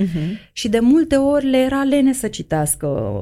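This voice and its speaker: Dark, mellow tone with very wide pitch swings. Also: woman. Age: middle-aged. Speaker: mature student and teacher. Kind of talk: interview.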